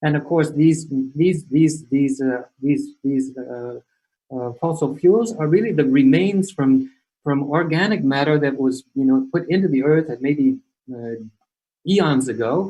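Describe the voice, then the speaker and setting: A man with an American accent speaks at a fairly slow pace in a dark, mellow tone. His fairly high pitch shows ordinary variation. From US West Coast (California). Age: 60s. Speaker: climate change speaker. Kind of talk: lecture. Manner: halting, many repeated words and fillers.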